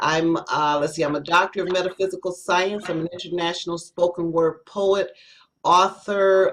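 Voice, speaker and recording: This woman talks at a moderate pace with monotone, flat intonation. Her pitch is fairly low. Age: 60s. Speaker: spoken word poet. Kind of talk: self-introduction on panel.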